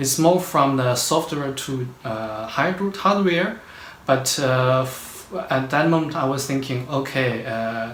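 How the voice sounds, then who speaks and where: A man speaks at a fairly high pitch and a fairly slow pace. Audible room echo and noticeable background noise are present. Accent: Chinese. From China. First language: Chinese. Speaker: postdoctoral researcher. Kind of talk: interview. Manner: halting, many fillers.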